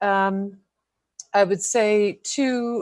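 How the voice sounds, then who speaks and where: A woman is speaking. The background is quiet. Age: 60s. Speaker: school committee member. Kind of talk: public meeting remarks. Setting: remote video meeting. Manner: hesitant, many fillers.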